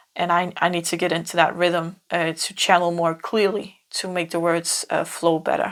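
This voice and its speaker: A woman in a Danish accent, fairly low in pitch, with monotone, flat intonation and a fairly slow pace. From Denmark. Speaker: tarot reader. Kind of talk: pick-a-card tarot reading. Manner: halting, many fillers and repeats.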